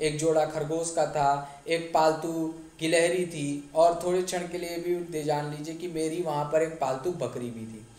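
A fairly high-pitched male voice with fairly even intonation and big swings in loudness, over noticeable background noise. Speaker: English teacher. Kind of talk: classroom lesson explanation.

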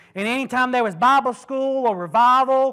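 A man speaks fairly quickly in a raised, projected voice at an extremely high pitch, animated and bright, sharp in tone. The background is quiet. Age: 20s. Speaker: preacher. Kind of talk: sermon. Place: church.

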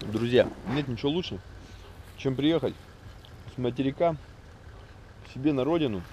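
A man with a medium pitch speaks at a moderate pace, using ordinary pitch variation, big swings in loudness and long, frequent pauses, in a dry sound with no echo and light background noise. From Magadan region, Russia. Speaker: travel vlogger. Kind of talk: casual vlog narration. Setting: outdoors, travelling by car. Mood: nostalgic, relaxed. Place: open country. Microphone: phone near.

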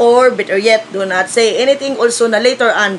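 A woman's voice with lively intonation over light background noise. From Philippines. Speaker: vlogger. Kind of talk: casual vlog chat, opinion rant. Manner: scolding, emphatic. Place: home room. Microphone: phone near.

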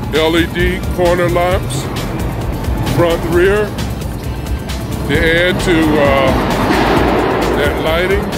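Loud music plays in the background of a dry recording with no echo. The speech moves at a very slow pace with long, frequent pauses. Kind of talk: casual walkaround commentary. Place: hall. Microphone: phone near.

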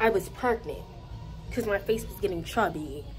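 Music plays faintly behind the voice. The speaker is a woman. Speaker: vlogger. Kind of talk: casual vlog chat. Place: gym. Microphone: phone near.

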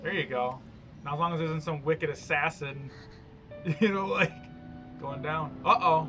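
Clear music plays behind speech delivered at a moderate speed. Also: man, fairly even intonation. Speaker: reaction video host. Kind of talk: casual reaction commentary.

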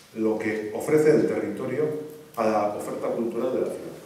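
The voice shows ordinary pitch variation, heard through strong room echo. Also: man. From Basque Country, Spain. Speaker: mayor, conference speaker; guest. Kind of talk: lecture; Q&A answers. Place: stage.

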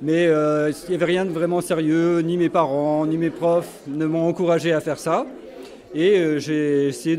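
With light background noise behind him, a man talks at a fairly slow pace in a fairly high voice. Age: 60s. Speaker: painter; interviewee. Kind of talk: interview. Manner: halting. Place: hall. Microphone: handheld.

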